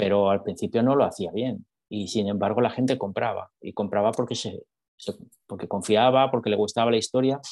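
The sound is dry and close with no echo as a man with a medium-pitched voice talks at a fairly quick pace and ordinary pitch variation. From Spain, Madrid. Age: 40s. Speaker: salesman and author. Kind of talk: interview conversation. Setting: video call.

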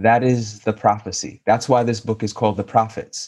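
A man with an American accent speaks at a moderate pace, medium in pitch and somewhat breathy. His intonation is fairly even, and the background is quiet. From New York City. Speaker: novelist. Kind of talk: interview.

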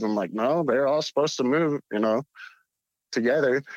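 Speaking in a normal speaking voice with an American accent, a man at a medium pitch uses lively intonation and a moderate pace, recorded with a dry, close sound with no echo over a quiet background. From Utah. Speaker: caller. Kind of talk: storytelling. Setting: phone call.

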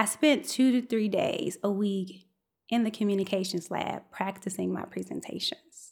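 At a moderate pace, a woman speaks in a medium pitch that is somewhat breathy, with ordinary pitch variation. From Chicago South Side. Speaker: scientist and storyteller. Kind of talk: storytelling performance. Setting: stage with live audience.

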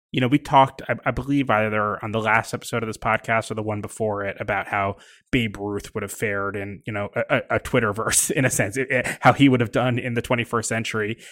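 A man at a medium pitch and a fairly quick pace, hardly any pauses, fairly even intonation, in a very clean recording with a silent background; a plain, everyday voice. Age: 40s. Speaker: podcast host, magazine editor. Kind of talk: casual interview. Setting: on location at a ballpark.

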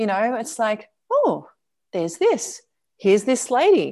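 Against a quiet background, a woman with an Australian accent speaks at a fairly slow pace with very wide pitch swings. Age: 50s. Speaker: travel lifestyle coach. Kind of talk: interview.

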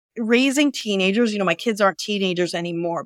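In an unremarkable speaking voice, a woman talks at a fairly high pitch, the sound dry and close with no echo. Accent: American. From US Midwest, Northwest Indiana. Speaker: financial services CEO. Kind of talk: interview.

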